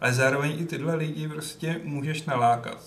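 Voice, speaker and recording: A man talks at a moderate pace with fairly even intonation. Noticeable background noise runs underneath. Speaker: podcast co-host. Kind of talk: casual chat.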